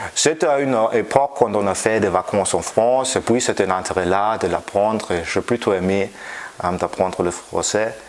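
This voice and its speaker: With a German accent, the speaker keeps a moderate pace and ordinary pitch variation over noticeable background noise. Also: man, fairly low pitch for a man. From Germany. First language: German (speaking French). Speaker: physics professor. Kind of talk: interview. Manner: halting, many hesitations.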